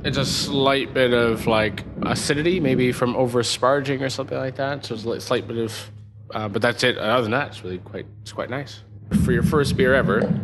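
Against background music and audible room echo, a man with a Canadian accent talks at a moderate pace and medium pitch, with ordinary pitch variation. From Canada, Toronto. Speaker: brewery co-founder and brewing teacher. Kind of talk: tutorial.

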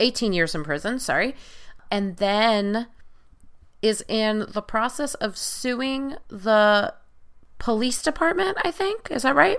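Speaking very slowly with long, frequent pauses, a woman with an American accent uses a fairly high pitch and very wide pitch swings, captured in a very clean recording with a silent background. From US Northeast (Long Island, New York). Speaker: podcast host, producer and media critic. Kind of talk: casual chat.

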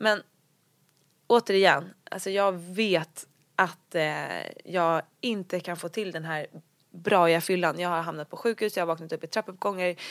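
In a very clean recording with a silent background, a woman uses an ordinary speaking voice, fairly low in pitch, fairly slow, and with fairly even intonation. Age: 20s. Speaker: blogger and entrepreneur. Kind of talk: interview about recovery and career.

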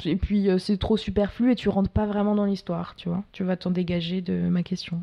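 A woman of medium pitch talks at a moderate pace in a dark, mellow, somewhat breathy voice with monotone, flat intonation. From France, Paris. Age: 20s. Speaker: documentary filmmaker. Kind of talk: casual interview. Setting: at her home.

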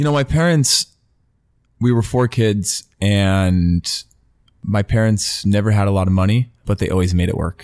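A man with an American accent talks at a moderate pace in an ordinary speaking voice, his pitch fairly low. The sound is dry and close, with no echo. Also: ordinary pitch variation. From California, US. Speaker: retired professional footballer and football media presenter. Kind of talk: casual interview chat. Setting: podcast interview.

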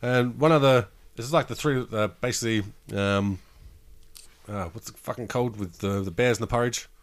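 Speaking in an Australian accent, a man moves at a fairly quick pace with ordinary pitch variation, big swings in loudness, and long, frequent pauses. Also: medium pitch for a man. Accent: Australian, broad. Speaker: podcast co-host. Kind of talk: casual chat. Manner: casual, swearing.

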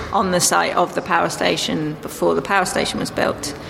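Noticeable background noise accompanies a voice speaking at a moderate pace. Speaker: filmmaker and artist. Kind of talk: casual interview chat.

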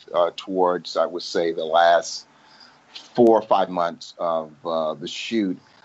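A man talks at a fairly slow pace in a fairly low pitch, with fairly even intonation. He has a plain, everyday voice. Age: 50s. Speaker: actor. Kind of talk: interview.

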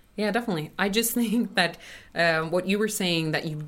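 A woman with a Swedish accent, lively intonation and a moderate pace. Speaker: Swedish teacher. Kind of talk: casual chat.

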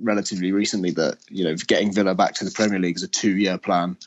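A man with a normal speaking voice, fairly low pitch and fairly even intonation. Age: 30s. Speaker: sports journalist. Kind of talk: casual chat.

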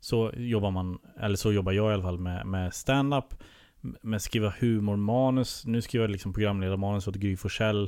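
This is an ordinary speaking voice from a man with a fairly low pitch. He keeps a moderate pace and fairly even intonation. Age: 30s. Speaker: comedian and TV producer. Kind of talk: casual chat.

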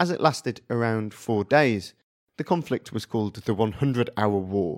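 In an ordinary speaking voice, a man talks at a moderate pace with a medium pitch and ordinary pitch variation, in a dry, close sound with no echo on a very clean recording with a silent background. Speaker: podcast host and narrator. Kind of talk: history documentary narration, scripted storytelling. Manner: measured, steady, serious.

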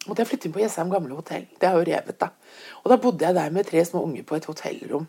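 A woman's fairly low voice, very fast, with lively intonation. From Bergen, western Norway. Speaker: visual artist. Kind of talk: casual interview chat. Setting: in her kitchen at home.

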